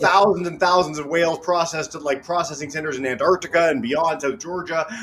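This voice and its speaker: A man's high-pitched, animated voice at a very fast pace, with noticeable background noise. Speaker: educational webcast host. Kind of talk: educational interview.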